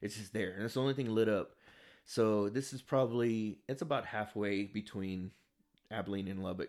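A normal speaking voice at a moderate pace with fairly even intonation, in a very clean recording over a silent background. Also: man, fairly low pitch for a man. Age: 30s. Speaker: podcast co-host. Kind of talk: casual chat.

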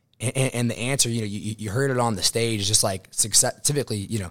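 This man has a normal speaking voice at medium pitch. His pitch varies in an ordinary way. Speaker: insurance sales agent. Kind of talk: interview.

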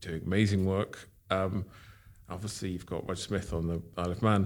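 In an English accent, a man speaks at a fairly low pitch with fairly even intonation. The recording is very clean, with a silent background. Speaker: watch company founder. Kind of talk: interview. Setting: in person at workshop. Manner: halting.

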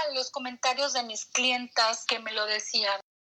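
Raising and projecting her voice, a woman speaks in a high pitch with ordinary pitch variation. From Mexico. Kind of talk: interview.

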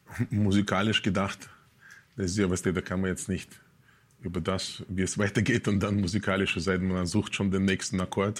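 With a Russian accent, a man talks at a moderate pace in a fairly low, monotone voice with flat intonation, recorded very cleanly against a silent background. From Russia, Moscow. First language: Russian (speaking German). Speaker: musician. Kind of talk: casual interview. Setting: studio.

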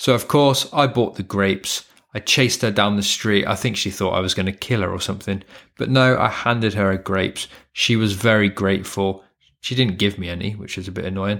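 On a very clean recording with a silent background, a man with a British accent speaks at a fairly quick pace. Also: fairly low pitch for a man, fairly even intonation. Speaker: English tutor, podcaster and voiceover artist. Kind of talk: monologue podcast, educational. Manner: chatty, informal, teaching style.

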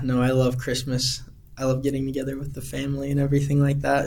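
Amid audible room echo, a man with a Utah accent speaks very fast in a fairly high, somewhat breathy voice. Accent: Utah American. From Utah, Heber City. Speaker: missionary. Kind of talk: interview.

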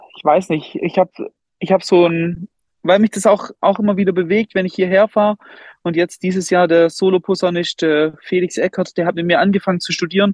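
Speaking fairly quickly with long, frequent pauses, a man uses a high pitch and a monotone, flat intonation. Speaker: music school director and band conductor. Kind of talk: casual interview.

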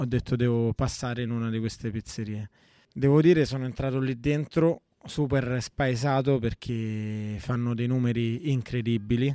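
A man with a dark, mellow tone speaks at a fairly slow pace and with fairly even intonation, the sound dry and close with no echo. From Italy, born and raised there (Rome area). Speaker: pizza maker. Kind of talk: interview.

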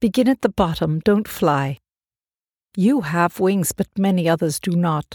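A woman with a plain, everyday voice speaks at a fairly slow pace in a fairly low pitch, her intonation lively and her loudness very even, in a very clean, silent recording with a dry, close sound and no echo. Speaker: audiobook narrator. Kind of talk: literary audiobook reading. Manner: slow, calm, reverent; measured, shifts between voices for questions and answers.

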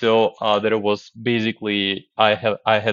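Speaking at a moderate pace, the man has a fairly low pitch. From Ukraine, Kyiv. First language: Russian or Ukrainian. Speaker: software developer. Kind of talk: podcast interview. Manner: halting.

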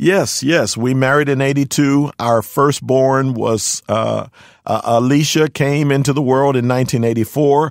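A man with an American accent speaks at a very slow pace in a medium pitch with fairly even intonation and very even loudness. The recording is very clean, with a silent background. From Philadelphia, US. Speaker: pastor. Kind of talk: interview. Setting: studio.

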